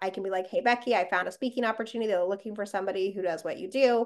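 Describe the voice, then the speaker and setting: Against a quiet background, a woman speaks very fast in an animated tone with ordinary pitch variation. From Las Vegas, US. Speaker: podcast host. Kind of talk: casual interview chat. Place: home room. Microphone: webcam.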